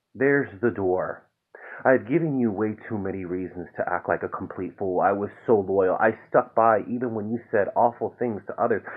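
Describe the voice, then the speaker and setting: Against a quiet background, a man talks in a calm tone at a moderate pace, with ordinary pitch variation. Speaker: poet reading own work. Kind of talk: spoken word poetry reading, raw confessional and angry. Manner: builds from calm intro to bitter, exasperated intensity; rhythmic, repetitive incantation of refrains. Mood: calm, weary, reflective. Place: home room. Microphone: phone near.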